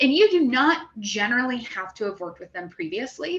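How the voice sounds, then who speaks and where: A woman talks at a fairly quick pace in a normal speaking voice. Her pitch is fairly high. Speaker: grant writing coach. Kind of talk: live Q&A session. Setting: livestream in a Facebook group.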